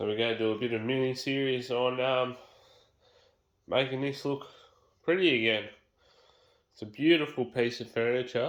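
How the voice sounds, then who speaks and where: A man's medium-pitched voice in an Australian accent, fairly even intonation, and long, frequent pauses. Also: moderate pace. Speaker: home renovator. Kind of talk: casual talk to camera.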